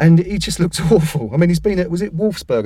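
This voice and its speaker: With an English accent, a man talks in a dark, mellow tone that is somewhat breathy. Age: 40s. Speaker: football website editor. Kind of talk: casual chat.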